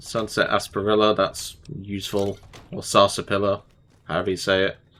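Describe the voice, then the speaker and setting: A man with a fairly low voice talks at a fairly quick pace. His tone is bright and sharp, his intonation monotone and flat. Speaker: gaming youtuber. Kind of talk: let's play commentary. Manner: casual.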